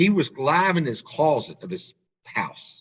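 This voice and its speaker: A man speaks with a Southern US accent. His pitch varies in an ordinary way. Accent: Southern US twang. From US South. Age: 40s. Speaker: auto industry businessman. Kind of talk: podcast interview.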